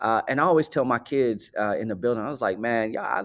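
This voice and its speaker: The intonation is lively. It comes from a man speaking at a medium pitch. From US Midwest (South Side of Chicago). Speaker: school principal. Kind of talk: podcast interview. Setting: hotel conference room, remote. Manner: animated.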